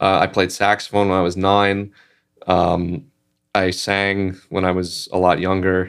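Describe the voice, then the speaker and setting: A man with a very deep, low pitch and an American accent talks at a fairly slow pace in a monotone, flat delivery, recorded very cleanly with a silent background. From New York, Staten Island. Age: 20s. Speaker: singer-songwriter and guitarist. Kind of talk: casual interview chat.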